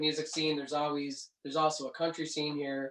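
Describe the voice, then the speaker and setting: A man with a Canadian accent speaks at a fairly quick pace in a fairly high pitch. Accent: Canadian, noticeable. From Canada, Cape Breton Island, Nova Scotia. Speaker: singer-songwriter. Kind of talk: casual interview chat.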